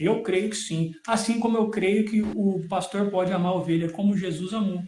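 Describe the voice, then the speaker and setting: A man in a rural Brazilian accent, fairly even intonation and audible room echo. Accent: Brazilian countryside. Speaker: preacher. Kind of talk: Bible teaching in a live stream. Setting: live stream.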